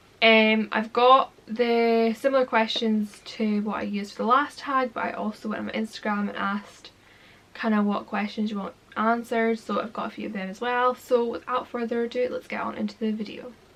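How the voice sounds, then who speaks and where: Fairly quick speech in a Scottish accent, fairly even in intonation, against noticeable background noise. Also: woman, fairly high pitch for a woman. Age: 20s. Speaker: vlogger. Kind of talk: casual chat.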